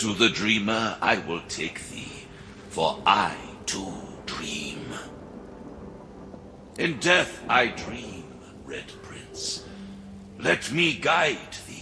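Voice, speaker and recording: Over clear background noise, a man does a put-on character voice at a medium pitch and a very slow pace. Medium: machinima. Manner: archaic, solemn speech.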